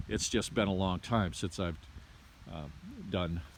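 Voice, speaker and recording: A man at a fairly slow pace. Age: 60s. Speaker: homesteader building a house addition. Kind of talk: casual video walkthrough. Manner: halting with many fillers.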